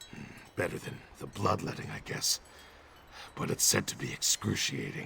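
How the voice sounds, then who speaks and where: A man performs in a put-on character voice. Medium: video game.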